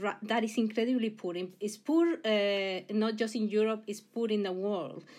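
The pace is moderate. A woman talks with a fairly high pitch. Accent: Mexican. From Mexico. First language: Spanish. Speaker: university president and engineering professor. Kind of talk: interview. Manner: halting, many repetitions.

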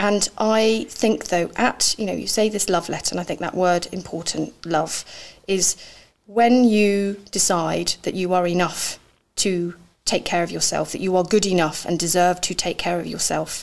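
A woman speaks in a normal speaking voice at a medium pitch and a moderate pace. Her intonation stays fairly even. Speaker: podcast host. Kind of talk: casual interview chat. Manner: chatty.

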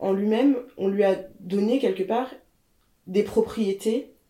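Woman at a very slow pace, with a dark, mellow tone and ordinary pitch variation. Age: 30s. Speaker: fashion journalist. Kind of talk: casual chat. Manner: halting.

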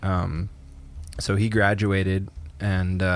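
A man speaks in an ordinary speaking voice, his pitch fairly low and his intonation fairly even. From Canada. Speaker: podcast co-host. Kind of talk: casual chat.

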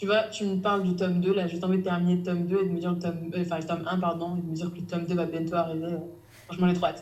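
In a room with audible echo, a woman speaks very fast at a fairly low pitch with monotone, flat intonation. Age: 20s. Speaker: novelist. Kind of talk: casual chat. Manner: halting.

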